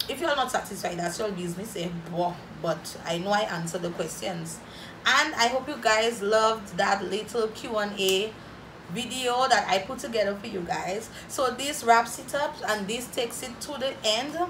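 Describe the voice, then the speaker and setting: A woman's fairly high voice at a moderate pace, with noticeable background noise. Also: ordinary pitch variation. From St Lucia. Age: 20s. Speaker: YouTuber. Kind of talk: casual Q&A vlog. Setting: home video recording. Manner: animated. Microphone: phone near.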